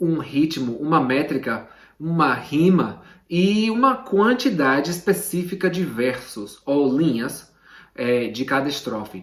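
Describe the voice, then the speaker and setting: Speaking fairly slowly, a man has an English accent and a fairly high pitch. His intonation is lively. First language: English (speaking Portuguese). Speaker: literature teacher. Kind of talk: tutorial. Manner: casual, direct to camera.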